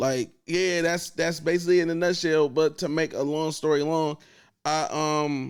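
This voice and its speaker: On a very clean recording with a silent background, a man with an American accent talks at a moderate pace in an unremarkable speaking voice, fairly high pitched with fairly even intonation. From US Midwest, Akron, Ohio. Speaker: radio host and event host. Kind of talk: casual chat.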